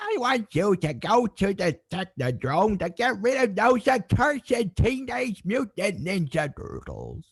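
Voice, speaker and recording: A put-on character voice at middle pitch and a fairly slow pace, with hardly any pauses. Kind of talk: theatrical. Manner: menacing, commanding.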